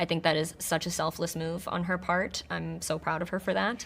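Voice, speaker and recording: A fairly low-pitched woman's voice with vocal fry, fairly even intonation and a fairly quick pace, on a very clean recording with a silent background. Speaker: actor. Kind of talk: press interview.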